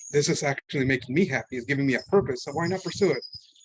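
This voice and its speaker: A man talks with a Spanish accent against noticeable background noise. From Mexico City, Mexico. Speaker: art student. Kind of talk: public talk. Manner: casual, halting.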